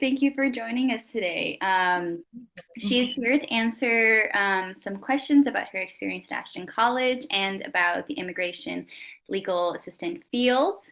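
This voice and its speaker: Moderately paced and lively in intonation, a woman speaks at a fairly high pitch. She uses a normal speaking voice. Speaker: college interviewer. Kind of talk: interview questions.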